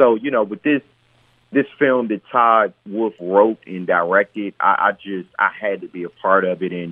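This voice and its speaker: Moderately paced, a man talks in a plain, everyday voice. His pitch sits fairly low, with ordinary pitch variation. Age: 40s. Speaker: actor. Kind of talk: interview.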